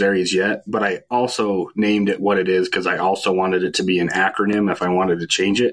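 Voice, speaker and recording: This man has a plain, everyday voice pitched fairly low. He talks at a fairly quick pace. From central Utah, Fillmore. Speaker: paranormal investigator. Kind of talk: casual interview.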